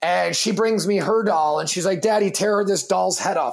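A man speaks loudly at a moderate pace. His pitch is high, with ordinary variation. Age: 30s. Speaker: fitness entrepreneur and coffee company founder. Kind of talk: casual chat.

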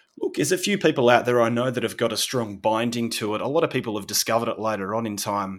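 In an Australian accent, a man talks at a very fast pace with ordinary pitch variation. The recording is very clean, with a silent background. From Australia, Victoria (Sorrento, near Melbourne). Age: 40s. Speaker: landscape photographer. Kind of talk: interview conversation.

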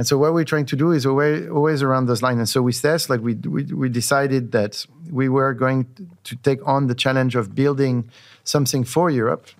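With a French accent, a man at medium pitch talks fairly quickly and with fairly even intonation, recorded very cleanly against a silent background. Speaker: tech company CEO. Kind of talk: casual interview conversation.

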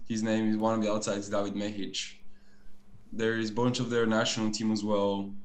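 Audible room echo surrounds a man with a fairly low voice talking at a fairly quick pace. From Bulgaria. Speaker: professional volleyball player. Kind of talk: casual chat.

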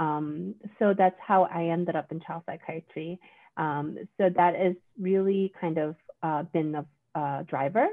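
In a Korean accent, the speaker goes very slowly with fairly even intonation. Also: woman, fairly low pitch for a woman. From South Korea. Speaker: psychiatrist. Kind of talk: casual chat.

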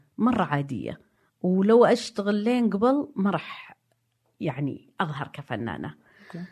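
Using vocal fry, a woman speaks very slowly at a medium pitch, her voice swinging very widely up and down. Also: big swings in loudness. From Saudi Arabia, Najd (Riyadh/Diriyah). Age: 50s. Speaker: art historian. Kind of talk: casual chat.

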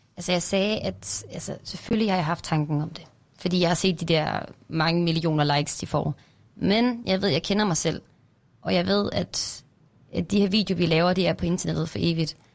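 A woman's fairly low voice with vocal fry, ordinary pitch variation and a moderate pace. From near Randers, Jutland, Denmark. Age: 20s. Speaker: TikToker.

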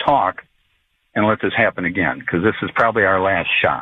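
In an ordinary speaking voice, a man with an American accent talks at a fairly quick pace with ordinary pitch variation. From Florida. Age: 60s. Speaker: caller. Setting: phone call.

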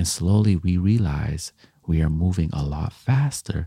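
Very deep and low, the man's voice has a dark, mellow tone and a somewhat breathy quality. He speaks at a fairly slow pace with ordinary pitch variation. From Canada, Jamaican heritage. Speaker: motivational speaker. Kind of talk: motivational monologue. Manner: reflective, conversational.

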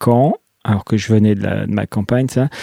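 This is an ordinary speaking voice with fairly even intonation. The sound is dry and close, with no echo. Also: man. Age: 40s. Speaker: comic book author. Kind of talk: casual interview.

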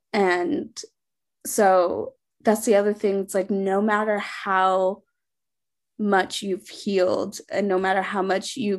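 In an American accent, a plain, everyday voice carries fairly even intonation against a quiet background. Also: woman. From Sri Lanka, raised later in US. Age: 20s. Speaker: foster care alumna and author. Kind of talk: interview testimony.

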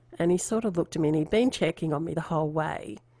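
With an Australian accent, a woman speaks at a fairly low pitch. Her tone is dark and mellow. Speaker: artist and podcast host. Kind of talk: interview.

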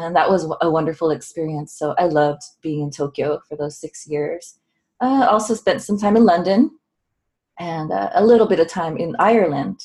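In a Californian accent, a woman speaks at a moderate pace with a fairly low pitch and lively intonation. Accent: Californian American English. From Southern California. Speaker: autoimmune wellness coach and researcher. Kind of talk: casual interview.

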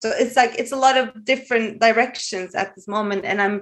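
A woman speaks with a Norwegian accent. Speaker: caller. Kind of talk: advice call conversation.

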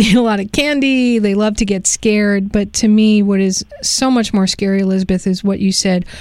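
A woman speaks at a moderate pace in a plain, everyday voice. Her pitch is medium and her intonation fairly even. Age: 50s. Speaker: radio talk show host. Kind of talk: interview; spoken endorsement.

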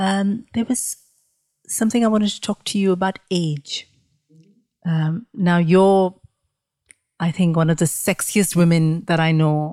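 A woman's fairly low-pitched voice with a dark, mellow tone and ordinary pitch variation, at a fairly slow pace with long, frequent pauses, in a dry, close sound with no echo. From India. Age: 40s. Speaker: podcast host. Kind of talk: interview. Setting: in person at guest's dining table.

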